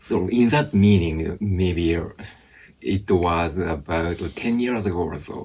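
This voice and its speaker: A man with a Japanese accent talks at a very slow pace. His voice is very deep and low, with ordinary pitch variation. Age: 40s. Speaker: English teacher. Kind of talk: interview.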